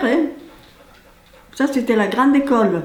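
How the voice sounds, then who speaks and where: A woman speaks at a high pitch and a moderate pace, with ordinary pitch variation and noticeable background noise. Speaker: village resident. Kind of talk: interview answer. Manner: casual, reminiscing.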